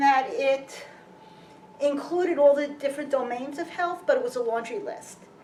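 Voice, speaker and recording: Her intonation lively, a woman speaks with a Brooklyn accent. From US Northeast, Brooklyn, New York City. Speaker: physician and health researcher. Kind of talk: public lecture. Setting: lecture hall with audience.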